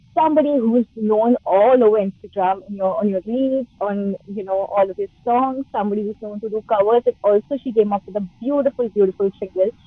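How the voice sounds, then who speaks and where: A woman talks at a fairly quick pace with hardly any pauses. Her fairly high pitch has ordinary variation. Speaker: radio show host. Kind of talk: interviewer questions. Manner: upbeat, enthusiastic.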